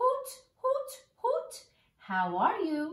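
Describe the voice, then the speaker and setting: A woman's squeaky, put-on character voice, extremely high in pitch with very wide pitch swings and an audible echo. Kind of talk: children's story reading.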